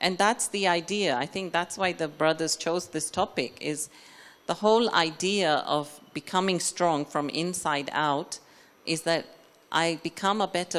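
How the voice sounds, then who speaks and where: A woman's very deep, low voice with fairly even intonation. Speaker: spiritual speaker. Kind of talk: lecture. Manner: slow.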